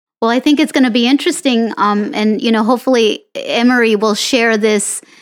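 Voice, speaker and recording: Using an ordinary speaking voice, a woman with a fairly high pitch speaks at a moderate pace with ordinary pitch variation. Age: 40s. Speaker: podcast host living with kidney disease. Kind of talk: interview.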